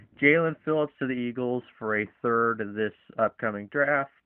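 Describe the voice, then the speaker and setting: A man with a plain, everyday voice talks at a fairly slow pace, his medium pitch varying in an ordinary way. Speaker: sports podcast host. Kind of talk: casual sports discussion.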